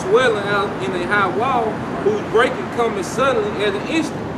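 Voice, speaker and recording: Loud background noise is present throughout. A man speaks over it at a moderate pace. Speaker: street preacher. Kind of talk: sermon. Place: street. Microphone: camera far.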